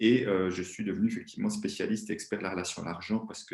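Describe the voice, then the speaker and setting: This man's pitch sits fairly low. He speaks very fast. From Switzerland. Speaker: money-relationship coach, former banker. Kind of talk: interview.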